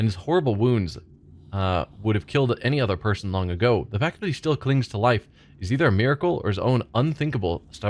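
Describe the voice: Plain, read-aloud speech, its intonation lively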